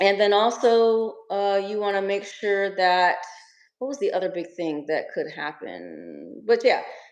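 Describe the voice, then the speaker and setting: A woman speaks in an American accent with ordinary pitch variation. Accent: American twang. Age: 40s. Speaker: Airbnb investor relocating to Africa. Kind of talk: casual interview. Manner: halting.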